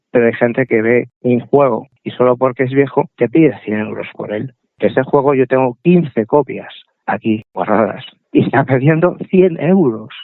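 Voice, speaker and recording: The speaker is a man with an ordinary speaking voice at a medium pitch. His pace is moderate and his pitch variation ordinary. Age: 60s. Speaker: computer collector. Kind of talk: interview.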